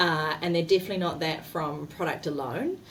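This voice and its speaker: A woman with a fairly low voice talks at a moderate pace with ordinary pitch variation over noticeable background noise. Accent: New Zealand. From New Zealand. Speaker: marketing executive. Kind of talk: interview.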